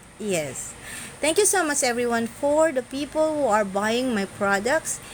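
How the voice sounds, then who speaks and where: Over noticeable background noise, a speaker with a Filipino accent talks at a fairly slow pace with very wide pitch swings and very even loudness. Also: woman, high pitch for a woman. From Philippines. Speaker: social media content creator. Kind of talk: live stream monologue. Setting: live stream. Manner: halting non-fluent English.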